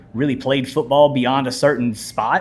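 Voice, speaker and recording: A man at medium pitch amid noticeable background noise. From US South (Mobile, Alabama). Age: 40s. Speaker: teacher and coach. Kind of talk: interview conversation.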